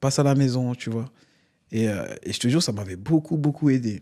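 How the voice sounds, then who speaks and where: Very clean recording, silent background, and a man's voice at medium pitch. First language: not French (African language) (speaking French). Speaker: comedian. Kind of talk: interview. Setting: studio. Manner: animated.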